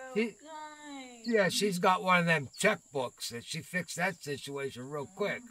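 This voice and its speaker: This man talks at a fairly slow pace in a high voice, with lively intonation and big swings in loudness. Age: 60s. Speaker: gaming streamer. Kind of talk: casual live-stream gameplay chat. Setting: live stream with voice chat. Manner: chatty, laughs often.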